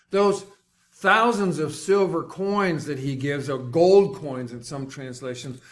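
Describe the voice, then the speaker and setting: Music plays in the background as a man speaks at a fairly slow pace. His intonation is lively. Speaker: preacher. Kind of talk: sermon delivered to a congregation.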